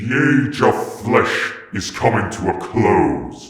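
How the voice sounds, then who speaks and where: A man's raspy, put-on character voice at a very slow pace, with clear echo. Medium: read story. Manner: solemn, ominous.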